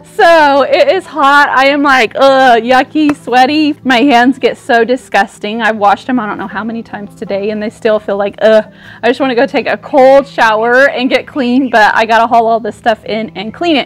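A woman speaks at a moderate pace in a high voice, with faint music in the background. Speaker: vlogger. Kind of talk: casual vlog chat. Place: street. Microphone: lapel.

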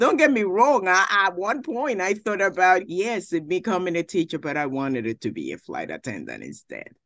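A woman talks at a moderate pace with vocal fry, hardly any pauses, very wide pitch swings and big swings in loudness. The sound is dry with no echo, and the background is quiet. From Puerto Rico. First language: Spanish. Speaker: judge. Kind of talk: interview. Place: office. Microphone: video call.

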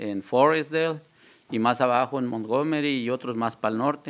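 A man speaks with a Mexican accent. His pitch variation is ordinary. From central Mexico (Guanajuato). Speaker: recovering alcoholic, AA member; guest. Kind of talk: testimony. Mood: earnest, personal confession. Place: studio. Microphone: studio mic.

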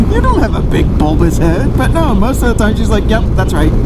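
A moderate pace over loud background noise. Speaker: vlogger. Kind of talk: casual vlog chat. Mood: joking, playful. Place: motorbike. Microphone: helmet.

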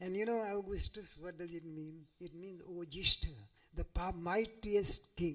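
The man's pitch is high and his intonation fairly even. He talks at a fairly slow pace. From India. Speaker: scholar and professor; professor. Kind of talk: lecture. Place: hall. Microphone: podium.

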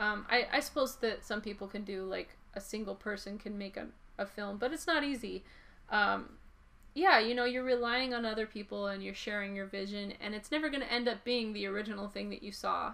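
Speaking at a fairly quick pace, a woman has a fairly high pitch with ordinary pitch variation. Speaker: comic book artist. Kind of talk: casual talk to camera, interview-style monologue. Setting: museum exhibition video. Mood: relaxed, enthusiastic. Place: home room. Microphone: camera far.

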